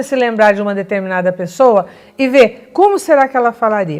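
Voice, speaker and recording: Her pitch swinging very widely, a woman talks in an animated tone at a fairly quick pace. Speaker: family communication coach. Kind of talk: educational talk.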